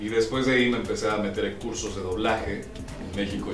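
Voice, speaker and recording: A man speaks in a fairly low voice. Clear music plays in the background. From Mexico (Pachuca, Hidalgo). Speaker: announcer and voice actor working at a major TV network. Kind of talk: interview answer. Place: studio.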